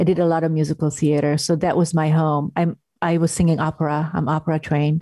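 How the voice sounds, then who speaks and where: With a Hungarian accent and a dark, mellow tone, the speaker goes at a very fast pace in a monotone, flat intonation at very even loudness. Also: woman, very deep, low pitch for a woman. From Hungary. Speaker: actress and drama therapist. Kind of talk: casual interview. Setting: video call.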